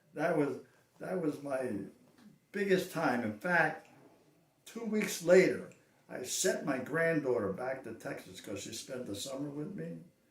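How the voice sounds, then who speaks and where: Fairly slow and broken by long, frequent pauses, a man's fairly high voice swings very widely in pitch and greatly in loudness, with audible room echo. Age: 80s+. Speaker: cowboy action shooter. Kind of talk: interview. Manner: halting.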